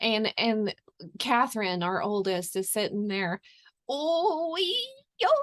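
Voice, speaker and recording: A woman's fairly high voice with very wide pitch swings, at a very slow pace with long, frequent pauses. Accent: Southern US. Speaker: podcast host, homesteading. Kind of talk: podcast interview, casual chat.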